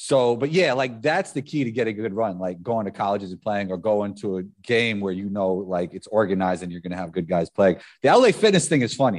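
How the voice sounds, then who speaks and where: Against a quiet background, a man in a New York accent speaks at a fairly quick pace with hardly any pauses, his fairly low pitch showing ordinary variation. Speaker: former professional basketball player. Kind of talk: casual chat.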